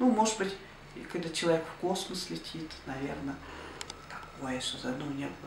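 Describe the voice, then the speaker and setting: Audible room echo and noticeable background noise surround a woman speaking at a moderate pace with a fairly low pitch. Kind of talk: interview answer. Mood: reflective, warm. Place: home room. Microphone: camera far.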